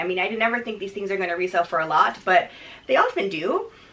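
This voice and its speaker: A woman talks with very wide pitch swings. There is noticeable background noise. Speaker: fashion reseller vlogger. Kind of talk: casual haul video. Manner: fast.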